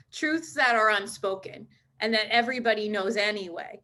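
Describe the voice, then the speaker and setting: A woman projects a raised voice with a bright, sharp tone at a fairly quick pace. The recording is very clean, with a silent background. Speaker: interviewer. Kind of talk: podcast interview host.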